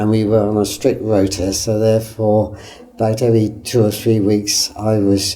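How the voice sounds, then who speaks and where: A dark, mellow tone, somewhat breathy. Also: man. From southern England, Winchester, Hampshire. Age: 90s. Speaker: local historian, retired legal executive. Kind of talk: oral history interview. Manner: hesitant, with fillers.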